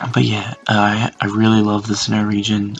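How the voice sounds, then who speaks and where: Over music in the background, a man with an Australian accent talks at a fairly quick pace and medium pitch. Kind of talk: casual reaction video talk. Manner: whispered.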